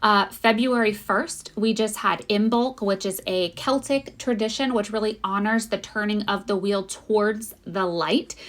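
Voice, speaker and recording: In a fairly high pitch, a woman talks at a fairly slow pace with hardly any pauses and fairly even intonation. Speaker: spiritual guide and podcast host. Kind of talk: channeled spiritual monologue. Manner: unscripted, sometimes fumbling.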